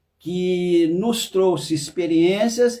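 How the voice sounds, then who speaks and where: A man with a high-pitched voice. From Brazil, interior of Rio de Janeiro state. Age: 60s. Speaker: therapist. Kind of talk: personal testimony. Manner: halting, with self-corrections.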